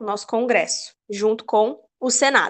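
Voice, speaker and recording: A woman speaks at a moderate pace. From interior of São Paulo state, Brazil. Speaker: political science graduate and researcher. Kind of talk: interview.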